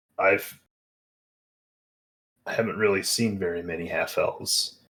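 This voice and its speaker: A man speaks in a raspy, put-on character voice. His pace is moderate. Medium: actual play. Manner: terse, measured.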